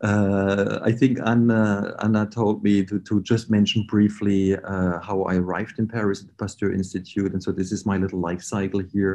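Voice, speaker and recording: A man's fairly low, dark, mellow voice in a German accent, monotone and flat, at a moderate pace with hardly any pauses and big swings in loudness. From Germany. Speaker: research scientist. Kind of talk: lecture. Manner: hesitant, many fillers.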